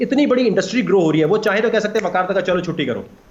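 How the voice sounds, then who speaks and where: Noticeable background noise sits under a man whose animated tone carries a lively intonation. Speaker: crypto expert. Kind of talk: TV talk show interview. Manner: animated, emphatic.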